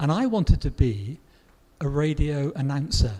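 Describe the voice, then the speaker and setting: A man speaks at a fairly high pitch with a dark, mellow tone. His voice is somewhat breathy. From southwest England. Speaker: grammar book author and English teacher. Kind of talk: Q&A interview. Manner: hesitant, with fillers and repetitions.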